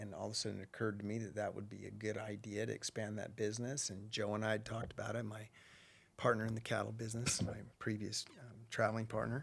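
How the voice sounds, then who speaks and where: A man talks at a very fast pace and a fairly low pitch. His delivery is monotone and flat, with vocal fry. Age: 60s. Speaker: rancher and businessman. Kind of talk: podcast interview.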